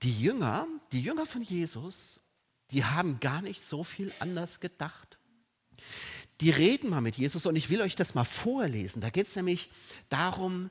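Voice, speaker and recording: Over a silent background in a very clean recording, a high-voiced man speaks in an animated tone at a fairly slow pace, with very wide pitch swings and long, frequent pauses. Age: 50s. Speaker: preacher. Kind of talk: sermon.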